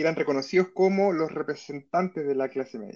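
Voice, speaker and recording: A man speaks in a fairly high pitch with ordinary pitch variation. The background is quiet. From Chile. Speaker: historian and university professor. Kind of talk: interview. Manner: hesitant, many fillers.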